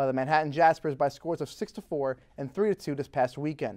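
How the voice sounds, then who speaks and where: A man's fairly high, fairly quick delivery in a normal speaking voice, against a quiet background. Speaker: news reporter and anchor. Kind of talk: TV news anchor and reporter delivery.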